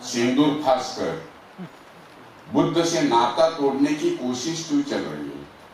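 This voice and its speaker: Noticeable noise sits behind this man's voice, along with audible echo from the room. His pitch moves in an ordinary way. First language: Marathi (speaking Hindi). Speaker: activist. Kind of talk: conference speech.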